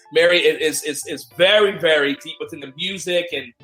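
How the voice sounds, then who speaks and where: A man speaks in a high voice with ordinary pitch variation while music plays in the background. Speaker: podcast host. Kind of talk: casual podcast talk. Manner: upbeat, enthusiastic.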